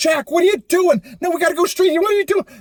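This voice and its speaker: A man puts on a character voice pitched extremely high. He rattles along at a very fast pace. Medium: read story. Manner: wheedling, quick-tempered.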